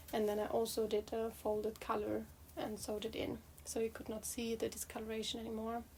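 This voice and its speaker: Noticeable background noise is present. Over it, a woman talks at a fairly quick speed. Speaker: knitting vlogger. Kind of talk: casual chat. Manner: halting, many fillers.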